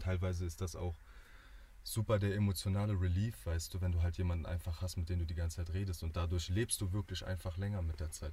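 A man talks at a fairly quick pace in a very deep, low pitch, somewhat breathy. His tone is dark and mellow, and his intonation is fairly even. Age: 20s. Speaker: student. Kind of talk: casual chat.

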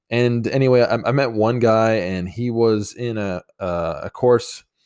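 On a very clean recording with a silent background, a man speaks very slowly with fairly even intonation. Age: 20s. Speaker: podcast host and life coach. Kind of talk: solo monologue podcast. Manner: halting, many fillers.

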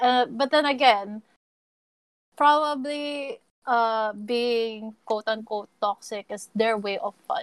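A woman's fairly high voice at a very slow pace, with ordinary pitch variation and a dry, close sound with no echo. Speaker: gamer. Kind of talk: casual chat. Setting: live online voice chat. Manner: halting.

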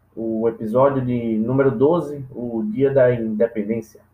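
A man's medium-pitched voice, fairly even in intonation, an unremarkable speaking voice. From Brazil, Recife (Pernambuco). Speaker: comedian podcast host. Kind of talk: solo comedic monologue podcast.

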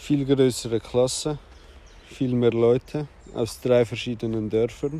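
A man talks at a very slow pace, with fairly even intonation. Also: medium pitch for a man. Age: 30s. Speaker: podcaster. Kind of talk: personal monologue. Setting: outdoors. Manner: halting.

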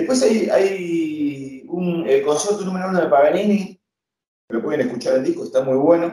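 Speaking with lively intonation, a man uses a high pitch and a dark, mellow tone. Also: moderate pace. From Argentina, Castelar, Buenos Aires province. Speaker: guitarist. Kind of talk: interview.

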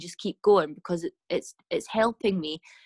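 In a Scottish Highlands and Islands accent, a woman speaks at medium pitch and a fairly slow pace, the sound dry and close with no echo. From Scotland, west coast island. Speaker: mental health advocate. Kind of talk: casual chat. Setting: podcast interview.

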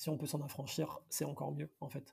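Fairly quick and marked by vocal fry, a man's fairly high voice has a dark, mellow tone and ordinary pitch variation. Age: 30s. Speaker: entrepreneur and financial director. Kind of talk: podcast interview.

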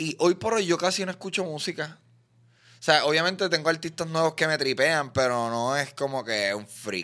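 A man speaks with a Puerto Rican accent in a bright, sharp tone. His intonation is lively and his pace moderate. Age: 30s. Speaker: comedian and podcaster. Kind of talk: casual chat.

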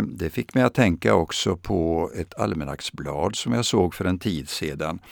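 Recorded with a dry, close sound and no echo, a man speaks fairly slowly with vocal fry and very wide pitch swings. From Sweden, Östergötland (Vadstena). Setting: radio studio.

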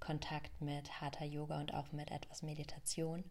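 A woman's very deep, low voice with a dark, mellow tone and audible room echo. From Germany, Rhön region. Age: 20s. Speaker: yoga teacher and podcaster. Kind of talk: personal storytelling monologue.

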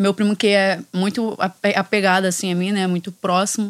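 In a Rio de Janeiro accent, a woman talks at a medium pitch. Her pace is moderate. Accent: Carioca Brazilian Portuguese. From Rio de Janeiro, Complexo da Maré. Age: 20s. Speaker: judo instructor and NGO founder. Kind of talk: interview conversation.

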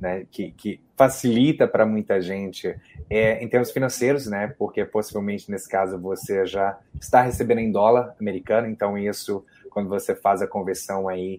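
A man talks at a fairly quick pace with fairly even intonation. His pitch is fairly low and his tone dark and mellow. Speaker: immigration consultant. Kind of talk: live Q&A stream.

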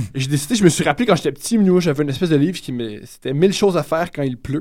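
A man with a fairly high pitch, a very fast pace and lively intonation. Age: 20s. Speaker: comedian. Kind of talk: casual chat.

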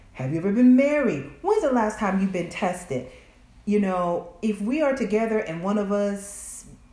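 Over audible room echo, a woman with an American accent talks at a fairly slow pace with lively intonation. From US South. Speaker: podcast guest. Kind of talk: casual chat.

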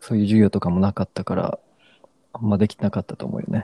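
A man speaks in a dark, mellow tone. The sound is dry and close with no echo, over a quiet background. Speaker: podcast co-host. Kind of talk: casual chat.

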